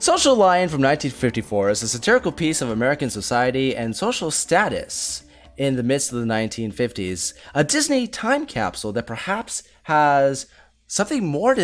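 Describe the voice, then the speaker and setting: A moderate pace, with music in the background. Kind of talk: scripted review intro narration.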